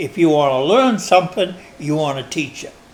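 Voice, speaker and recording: Here is a man with a normal speaking voice and an American accent. His pitch is fairly high and his intonation lively. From Maine, USA. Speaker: long-time resident interviewed for oral history. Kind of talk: oral history interview answer.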